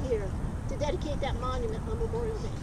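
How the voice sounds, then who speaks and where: The pace is fairly quick. Loud noise fills the background. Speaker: police deputy chief. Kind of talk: motivational pep talk to recruits. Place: open country.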